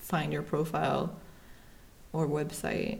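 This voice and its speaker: A woman with a German accent. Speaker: podcast host. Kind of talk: casual interview chat.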